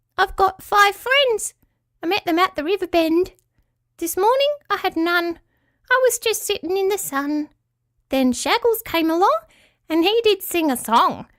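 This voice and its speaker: Putting on a character voice, a woman squeaks at an extremely high pitch while keeping a moderate pace. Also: long, frequent pauses. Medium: read story. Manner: shy, terse.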